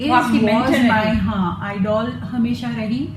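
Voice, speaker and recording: Background music under a voice with very wide pitch swings. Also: woman. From Mumbai, India. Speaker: voice over artist. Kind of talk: interview answer.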